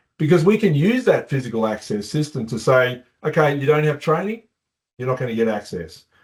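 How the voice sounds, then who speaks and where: Somewhat breathy, a man with an Australian accent talks at a fairly quick pace, using a fairly high pitch and very wide pitch swings. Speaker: company co-founder. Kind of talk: webinar presentation. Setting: online webinar.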